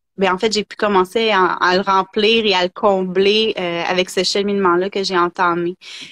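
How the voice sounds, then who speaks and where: A woman's medium-pitched, monotone delivery at a moderate pace, with hardly any pauses and a dry, close sound with no echo. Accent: Quebec. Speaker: energy therapist. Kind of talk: interview, personal story.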